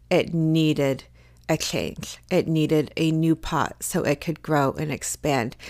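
In a very clean recording with a silent background, a woman speaks very slowly in a monotone, flat way. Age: 40s. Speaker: wellness podcast host. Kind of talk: motivational solo podcast talk. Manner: casual, with filler words.

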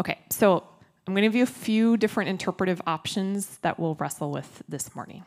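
A plain, everyday voice: a woman with an American accent, fairly quick pace and ordinary pitch variation, in a very clean recording with a silent background. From Minnesota. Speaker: pastor. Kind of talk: sermon. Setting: church. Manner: casual, conversational.

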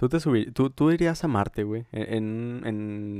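Recorded very cleanly against a silent background, dry and close with no echo, a man with a Mexican accent speaks in a fairly low pitch with a dark, mellow tone. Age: young. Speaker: podcast co-host. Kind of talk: casual chat.

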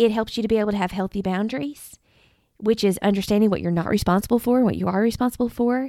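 A very fast voice with a Southern US accent on a very clean recording with a silent background. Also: woman. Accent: US South. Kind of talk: devotional podcast monologue. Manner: halting.

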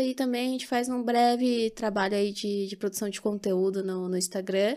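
A woman talks at a moderate pace with a medium pitch. She has a plain, everyday voice and fairly even intonation. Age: 20s. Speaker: podcast co-host, psychologist. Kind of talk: casual chat.

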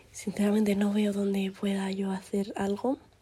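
A woman's somewhat breathy, dark, mellow voice at medium pitch and a fairly slow pace. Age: young. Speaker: podcaster. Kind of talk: casual monologue. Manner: rambling, hesitant.

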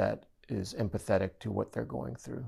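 A man with an American accent and an unremarkable speaking voice talks at fairly low pitch with ordinary pitch variation. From US, Japanese American family. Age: 50s. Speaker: father sharing mental health story. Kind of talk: interview testimony.

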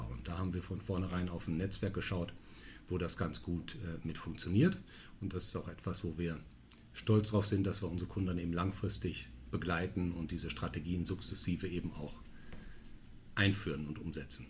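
Very deep and low, a man's voice carries vocal fry and ordinary pitch variation at a moderate pace. Long, frequent pauses break up his speech, and audible room echo is present. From Münster, western Germany. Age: 40s. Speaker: strategy consulting partner. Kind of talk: podcast interview. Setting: studio, sitting across from host.

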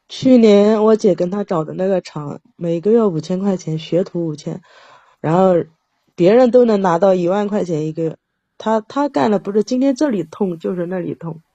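Speaking at a moderate pace, a woman has a medium pitch. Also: ordinary pitch variation. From Jiangsu, China. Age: 40s. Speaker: caller seeking relationship advice. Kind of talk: call-in advice conversation.

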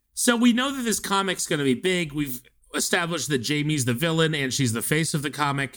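A man talks at a fairly quick pace in a plain, everyday voice. His pitch is fairly high and his intonation lively. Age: 30s. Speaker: podcast co-host. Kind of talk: casual chat.

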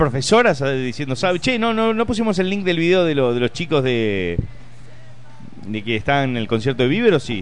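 A man talks at a moderate pace in a fairly high pitch. His pitch makes very wide swings. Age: 30s. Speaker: comedian. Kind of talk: casual chat.

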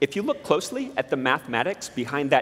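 In an American accent, a man speaks with very wide pitch swings. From southern Utah, US. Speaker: particle physicist giving a talk. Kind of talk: public talk to an audience.

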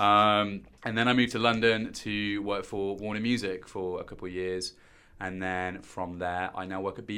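A man with a West Midlands accent talks at a fairly quick pace. His voice is fairly low in pitch, with a bright, sharp tone and monotone, flat intonation. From West Midlands, England (Stourbridge, near Birmingham). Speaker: digital marketing executive and DJ. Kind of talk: casual interview.

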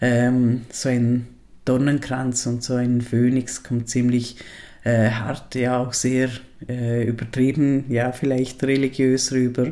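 At a very slow pace, a man speaks in a medium pitch with monotone, flat intonation and a dark, mellow tone. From Liechtenstein. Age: 40s. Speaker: podcaster. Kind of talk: personal monologue. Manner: halting, many fillers.

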